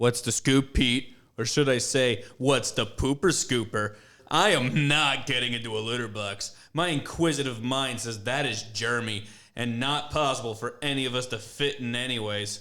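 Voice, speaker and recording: Using a put-on character voice, a man with a medium pitch speaks at a moderate pace. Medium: audio drama.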